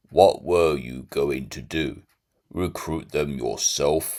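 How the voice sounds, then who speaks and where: Using a put-on character voice, a man speaks at a very slow pace. His pitch is very deep and low, with fairly even intonation. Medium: read story. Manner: cold, clipped.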